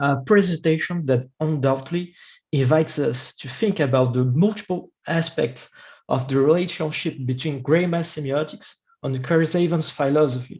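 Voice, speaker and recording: In a quiet background, a man speaks at a moderate pace with a somewhat breathy, fairly high voice and ordinary pitch variation. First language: not English. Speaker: academic discussant. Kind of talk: formal academic commentary. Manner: halting.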